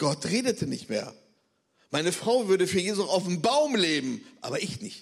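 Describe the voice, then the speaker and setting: A man's high-pitched voice with very wide pitch swings, a moderate pace and audible room echo. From Bremen, northern Germany. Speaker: missionary. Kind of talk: testimony. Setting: church service.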